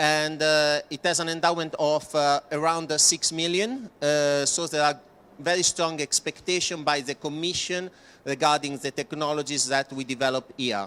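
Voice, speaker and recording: Recorded with a dry, close sound and no echo, a man speaks at a moderate pace in a fairly high pitch with fairly even intonation. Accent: Italian. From Italy. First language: Italian. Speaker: project presenter. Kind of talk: presentation. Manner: halting, many fillers.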